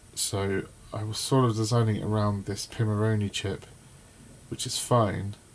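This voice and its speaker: A man with a fairly low pitch speaks at a fairly slow pace over noticeable background noise. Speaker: electronics maker and YouTuber. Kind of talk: live design tutorial. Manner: halting, lots of fillers.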